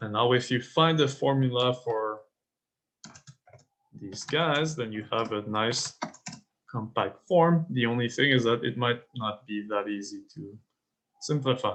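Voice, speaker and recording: A man talks at a medium pitch and a fairly slow pace, with ordinary pitch variation. Long, frequent pauses break up his speech. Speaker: teaching assistant running exam review. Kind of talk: lecture. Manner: halting.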